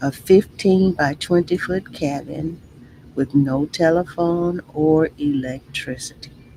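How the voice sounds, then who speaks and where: With a Texas accent, a woman speaks very slowly in a very deep, low voice, her intonation fairly even. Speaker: livestream host. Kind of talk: reading aloud with commentary. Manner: deliberate, self-correcting reading.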